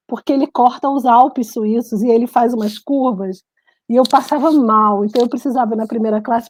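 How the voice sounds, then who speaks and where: A woman's high-pitched voice with a Brazilian accent, fairly even intonation and a fairly quick pace. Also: dry, close sound with no echo. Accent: Brazilian accent in local language. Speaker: writer and journalist. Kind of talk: casual interview chat.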